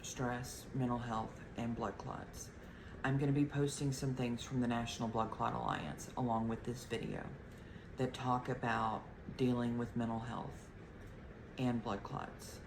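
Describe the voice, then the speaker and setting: In audible room echo, a woman speaks at a very deep, low pitch with fairly even intonation. She goes at a fairly slow pace with long, frequent pauses. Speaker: health vlogger, blood clot survivor. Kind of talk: casual video talk to viewers.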